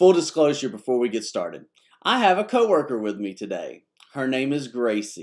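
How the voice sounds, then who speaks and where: Lively intonation marks this man's speech. The background is quiet. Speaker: pastor. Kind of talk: devotional talk. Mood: warm, friendly. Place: office. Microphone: webcam.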